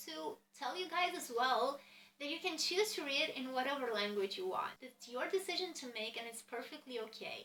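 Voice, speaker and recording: A woman's raised, projected voice in a Romanian accent, high in pitch with very wide swings, over noticeable background noise. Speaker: book vlogger. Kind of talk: casual chat.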